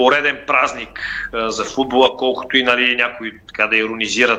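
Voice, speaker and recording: Moderate-paced speech from a man amid noticeable background noise. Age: 30s. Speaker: sports journalist. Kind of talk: panel discussion.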